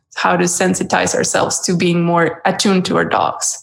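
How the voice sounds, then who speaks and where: A medium-pitched female voice in a Spanish accent. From Mexico. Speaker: dog trainer. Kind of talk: interview.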